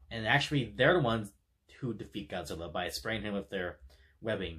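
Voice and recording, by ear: Bright and sharp in tone with a slightly husky edge, a man speaks at a moderate pace. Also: fairly low pitch for a man, lively intonation.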